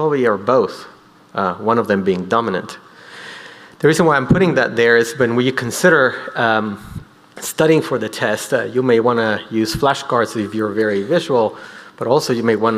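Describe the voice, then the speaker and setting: Here a man is heard at a moderate pace. The rise and fall of his pitch is ordinary. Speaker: physician lecturer. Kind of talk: lecture. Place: hall. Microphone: podium.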